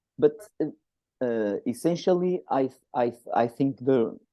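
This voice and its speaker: This man talks very slowly. There is ordinary variation in his pitch. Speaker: writer and musician. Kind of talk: interview. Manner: halting.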